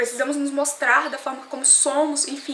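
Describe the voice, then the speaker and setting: A woman's raised, projected voice with audible room echo and noticeable background noise. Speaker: vlogger. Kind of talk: opinion vlog. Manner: fast.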